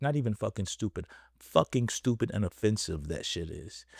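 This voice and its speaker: A man's voice at a fairly slow pace, medium in pitch, with an American accent, lively intonation, vocal fry, and a dry, close sound with no echo. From Texas, Dallas. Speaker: podcast host. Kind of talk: casual podcast commentary.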